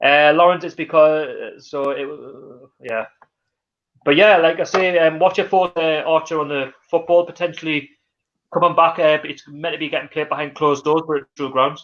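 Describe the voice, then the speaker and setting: The speaker talks in a Geordie accent at a moderate pace. The intonation stays fairly even. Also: man, fairly high pitch for a man. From North East England (Newcastle). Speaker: football fan channel host. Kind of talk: live stream chat. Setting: live stream. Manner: halting.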